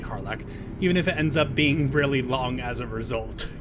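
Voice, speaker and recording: A man talks at a fairly quick pace and a medium pitch, with noticeable background noise around him. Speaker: gaming let's play host. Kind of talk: casual gameplay commentary.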